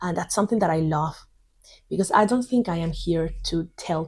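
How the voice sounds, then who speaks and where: A woman's voice, somewhat breathy and fairly low in pitch. She speaks with a Spanish accent. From Spain. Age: 30s. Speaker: English teacher. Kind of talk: tutorial. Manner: halting.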